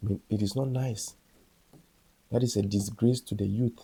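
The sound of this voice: A man talks at a moderate pace in a dark, mellow tone with a husky, rough edge and fairly even intonation. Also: fairly low pitch for a man.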